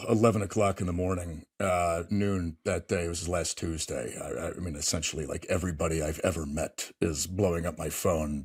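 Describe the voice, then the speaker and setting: A somewhat breathy man at a fairly quick pace on a very clean recording with a silent background. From Maine. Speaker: Senate candidate, veteran and oyster farmer. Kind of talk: interview. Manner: halting, many false starts.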